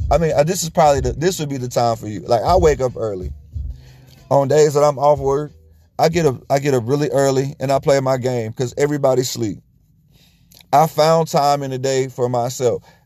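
Music plays behind a man with a fairly high pitch. He talks at a fairly quick pace with ordinary pitch variation. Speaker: podcast host. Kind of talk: casual solo monologue. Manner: casual, conversational.

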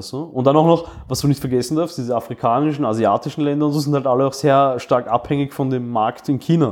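A man's fairly high voice at a very fast pace, with hardly any pauses and ordinary pitch variation. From Austria, migrant family. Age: 30s. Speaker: podcast co-host. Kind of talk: casual chat.

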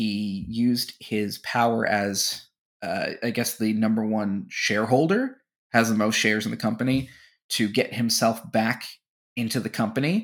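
In a very clean recording with a silent background, a man speaks in a normal speaking voice at a medium pitch, a moderate pace and fairly even intonation. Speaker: wrestling podcast co-host. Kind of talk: casual chat.

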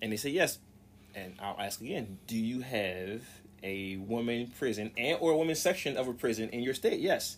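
A man speaks in an ordinary speaking voice with an American accent and a medium pitch. His intonation is lively and his pace is moderate. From US South. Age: 40s. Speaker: podcast co-host. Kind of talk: casual chat.

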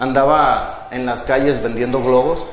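Noticeable background noise and audible room echo both come through in the recording. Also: man. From Mexico, Tepic, Nayarit. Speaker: entrepreneur. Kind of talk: interview, life story. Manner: hesitant, filler-heavy.

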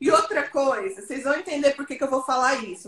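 The speaker is a woman. Her pitch is high. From Brazil, Goiânia. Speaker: sales entrepreneur and consultant. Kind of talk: casual interview on live stream. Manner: animated.

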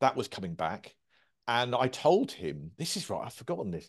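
Medium-pitched male voice with vocal fry and very wide pitch swings, moderate pace, quiet background. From Surrey, southern England (Guildford). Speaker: comedy writer and broadcaster. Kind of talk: casual interview.

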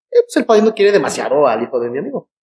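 Very fast male speech in a Mexican accent with lively intonation, dry and close with no echo. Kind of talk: casual chat.

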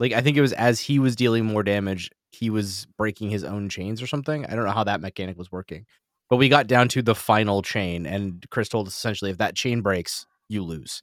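A man with a normal speaking voice talks at a fairly quick pace. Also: fairly low pitch for a man, ordinary pitch variation. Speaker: tabletop game master and podcast host. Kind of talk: casual chat. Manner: laughs often, casual with frequent filler.

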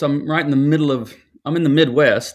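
A man with an American accent speaks in a fairly high voice. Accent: American with a twang. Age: 60s. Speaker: pastor and author.

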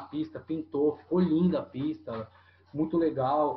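Noticeable background noise sits behind this speaker. A man talks with a fairly high pitch and fairly even intonation. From São Paulo state coast, Brazil. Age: 30s. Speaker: skate shop owner. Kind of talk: casual interview chat.

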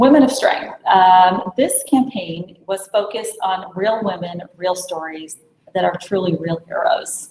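In an American accent, a woman with an unremarkable speaking voice speaks at a fairly slow pace, with a medium pitch and ordinary pitch variation. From New York (Brooklyn). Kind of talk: business pitch. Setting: video call.

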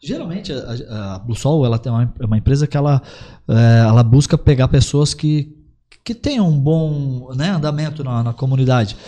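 The tone is dark, mellow and somewhat breathy. Delivery comes at a moderate pace with ordinary pitch variation. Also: man, medium pitch for a man. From Paraná, Brazil (gaúcho family). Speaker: credit agent, former hot dog vendor. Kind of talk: casual podcast interview.

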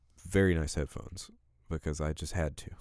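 This man's voice is very deep and low-pitched. The recording is very clean and the background silent. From Alabama. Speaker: gaming podcast host. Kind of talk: casual chat. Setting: studio. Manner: halting, many fillers.

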